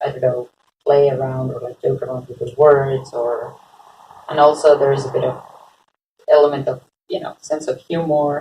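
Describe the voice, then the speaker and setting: A woman with a very deep, low pitch and a dark, mellow, somewhat breathy tone speaks at a moderate pace in a monotone, flat way, with big swings in loudness and long, frequent pauses. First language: Spanish. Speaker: podcast guest. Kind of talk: casual chat.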